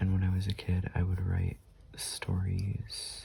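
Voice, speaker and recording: The voice has a calm tone and a fairly slow pace, with noticeable background noise behind it. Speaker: artist, sketchbook YouTuber. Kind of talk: casual talk to camera while drawing. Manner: soft-spoken, calm.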